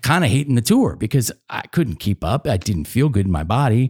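A man with a normal speaking voice and an American accent, medium pitch, lively intonation and a fairly quick pace, on a very clean recording with a silent background. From suburban Philadelphia. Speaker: podcast host. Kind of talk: interview.

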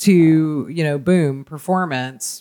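This man has an unremarkable speaking voice, a fairly high pitch and ordinary pitch variation. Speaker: podcast host. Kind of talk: casual interview chat.

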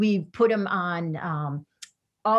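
A woman speaks here. Her tone is animated. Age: 60s. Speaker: career coach. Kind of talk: interview. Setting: video call.

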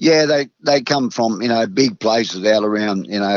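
A man with a rural Australian accent. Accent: broad rural Australian. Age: 60s. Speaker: retired racehorse trainer. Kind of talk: interview. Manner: halting.

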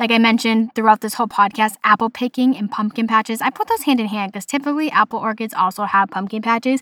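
A woman speaks at a very fast pace with a fairly high pitch, an animated, bright, sharp tone and ordinary pitch variation. She has a Boston accent, and the sound is dry and close with no echo. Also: very clean recording, silent background. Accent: Boston, noticeable. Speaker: podcast host. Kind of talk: casual solo podcast monologue. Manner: animated, chatty.

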